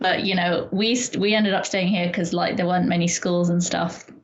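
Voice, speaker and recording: A woman talks fairly quickly, her voice carrying an audible room echo. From Qatar (Doha), from about age eight; lived in London before. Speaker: university maths student. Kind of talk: casual chat. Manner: fast, filler-heavy (like, um).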